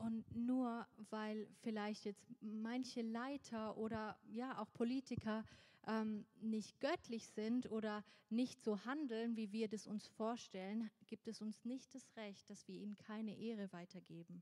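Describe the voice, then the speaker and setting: A woman's fairly high voice moves at a very slow pace with fairly even intonation. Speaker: church interpreter translating a preacher into German. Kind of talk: sermon interpretation.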